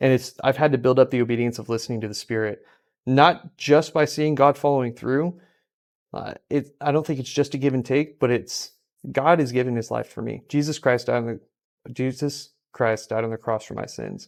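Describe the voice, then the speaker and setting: Here a man talks at a fairly quick pace in a plain, everyday voice. His pitch is medium with fairly even intonation, on a very clean recording with a silent background. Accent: American. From California. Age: 20s. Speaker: esports ministry leader. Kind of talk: casual podcast conversation, testimony.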